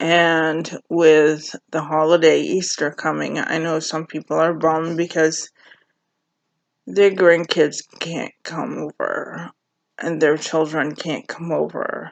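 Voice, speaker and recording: A woman's monotone, flat voice at a very deep, low pitch. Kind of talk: casual vlog monologue. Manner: halting.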